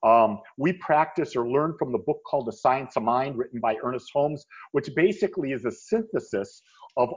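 The man's pitch swings very widely as he talks. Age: 60s. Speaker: spiritual minister. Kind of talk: interview podcast.

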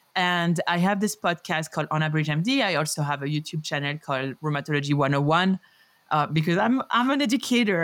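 With a French accent, a woman talks at a fairly quick pace with lively intonation on a very clean recording with a silent background. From France, Paris. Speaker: rheumatologist. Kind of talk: interview.

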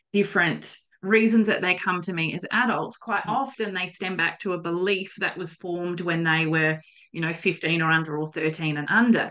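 A woman with an Australian accent has a bright, sharp tone, medium pitch, ordinary pitch variation and a moderate pace. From South Australia, Coonawarra. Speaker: podcast host. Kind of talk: casual interview.

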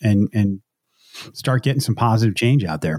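On a very clean recording with a silent background and a dry, close sound with no echo, a man of medium pitch talks at a fairly quick pace. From upstate New York. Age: 40s. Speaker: Air Force veteran and podcast host. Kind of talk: casual interview chat. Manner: halting, many repetitions.

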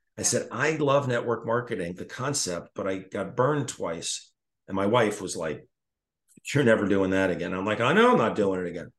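Over a quiet background, a man with a normal speaking voice and fairly low pitch talks at a fairly quick pace with lively intonation. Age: 60s. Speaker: retired foot surgeon and network marketer. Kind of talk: casual chat.

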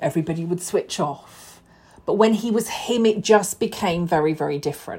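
A woman's somewhat breathy voice at a medium pitch, with ordinary pitch variation and a moderate pace, in a very clean recording with a silent background. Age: 40s. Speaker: podcast host and burnout coach. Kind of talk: solo podcast monologue. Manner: casual, unscripted.

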